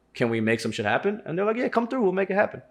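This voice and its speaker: Very fast speech from a man, his pitch swinging very widely. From South Indian family, raised in US. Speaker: podcast host and rapper. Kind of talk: casual chat. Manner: casual slangy, many fillers.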